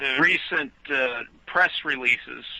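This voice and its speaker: This is a man talking. His pace is very slow. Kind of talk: radio talk show discussion. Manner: sounds agitated.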